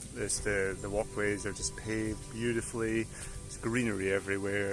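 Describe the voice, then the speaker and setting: A man with a Scottish accent, fairly low-pitched, at a moderate pace with fairly even intonation, music in the background. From Scotland. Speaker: travel vlogger. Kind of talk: casual vlog talk to camera.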